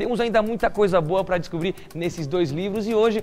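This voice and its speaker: A man's high-pitched, animated voice at a fairly quick pace, with music in the background. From Curitiba, southern Brazil. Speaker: TV show host. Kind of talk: TV Bible study talk show.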